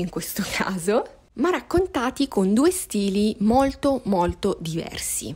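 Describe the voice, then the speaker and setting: Noticeable background noise sits behind a woman's fairly high voice. Her pitch swings very widely. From Sicily, Catania. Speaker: book content creator. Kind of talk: podcast monologue about books. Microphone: worse audio, lacking equipment.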